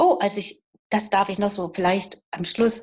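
Speaking at a moderate pace, a woman sounds somewhat breathy at a fairly high pitch. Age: 50s. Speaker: horse owner seeking coaching. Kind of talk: live coaching session.

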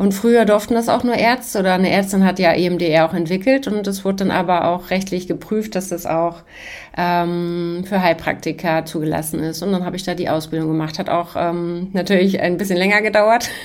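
A woman with an unremarkable speaking voice talks at a moderate pace. Her pitch is medium and her intonation fairly even. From Hamburg, northern Germany. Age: 40s. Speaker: trauma therapist, former police detective. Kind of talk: casual interview.

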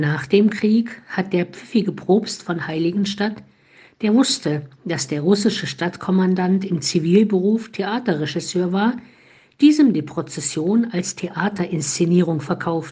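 A woman with a dark, mellow tone and a medium pitch speaks at a fairly slow pace in a calm tone, somewhat breathy, with ordinary pitch variation. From Thuringia, Eichsfeld region (eastern Germany). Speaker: Franciscan nun giving a morning devotion. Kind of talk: scripted spiritual reflection. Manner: calm, measured.

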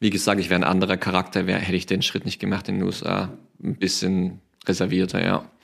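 In a very clean recording with a silent background, a man with a very deep, low pitch talks at a very fast pace in a monotone, flat intonation. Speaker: former college football player. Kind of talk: interview.

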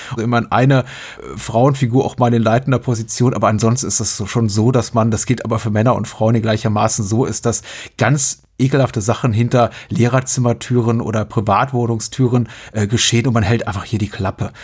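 A somewhat breathy man's voice, medium-pitched and flat in a monotone, at a fairly quick pace. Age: 40s. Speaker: podcast host. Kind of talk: casual chat.

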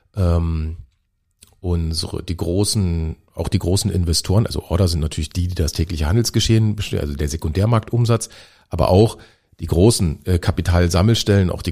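A man speaks in a very deep, low pitch with a dark, mellow tone. His voice is somewhat breathy and his pace fairly quick. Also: very clean recording, silent background. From Germany. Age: 40s. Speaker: stock exchange CEO. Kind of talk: interview. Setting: studio.

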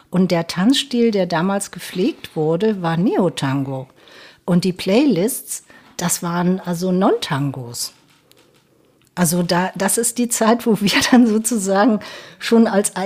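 Her voice has a dark, mellow tone and medium pitch, with lively intonation. The woman speaks at a very slow pace. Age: 60s. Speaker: tango dancer, association volunteer. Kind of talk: casual interview.

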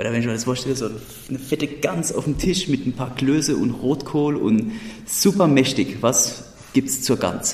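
Male speech in a Hessian accent, at a medium pitch and a moderate pace, with ordinary pitch variation and noticeable background noise. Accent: Odenwald dialect. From Odenwald, Germany. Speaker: podcast host. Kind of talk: casual chat.

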